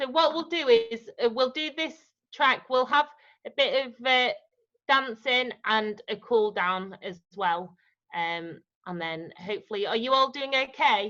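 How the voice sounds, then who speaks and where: A woman with a Yorkshire accent, high pitch and a bright, sharp tone, lively intonation at a fairly slow pace. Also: big swings in loudness. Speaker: dance teacher. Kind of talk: online dance class instruction. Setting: video call.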